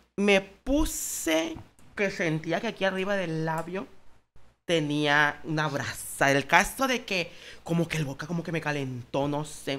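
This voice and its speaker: A man talks fairly slowly, his tone bright and sharp. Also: ordinary pitch variation. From Escuinapa, Sinaloa, Mexico; Sinaloa, Mexico. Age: 20s. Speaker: nurse and social media comedian; social media comedian. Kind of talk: casual chat. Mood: candid, personal anecdotes. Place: studio. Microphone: studio mic.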